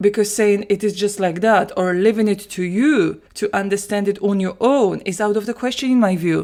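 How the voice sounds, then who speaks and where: Speaking at a fairly quick pace, a woman with a Polish accent and medium pitch is heard in a very clean recording with a silent background. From Poland. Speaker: language teacher. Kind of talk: solo podcast monologue.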